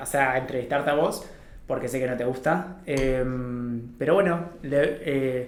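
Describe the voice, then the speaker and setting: Over audible room echo, a man talks at a fairly slow pace with fairly even intonation. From Argentina, Paraná, Entre Ríos. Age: 30s. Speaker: podcast host, business owner. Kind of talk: casual interview.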